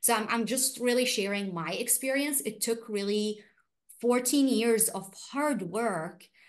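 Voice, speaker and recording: Her fairly high voice lively in intonation, a woman speaks at a fairly slow pace in an Arabic accent. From Iraq. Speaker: refugee rights activist. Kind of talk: panel discussion. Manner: halting.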